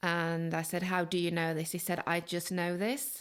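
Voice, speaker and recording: Someone talks at a fairly slow pace with a Manchester accent. The recording is very clean, with a silent background. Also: woman. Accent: Northern English (Manchester). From Manchester, England. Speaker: journalist and author. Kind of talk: interview answer.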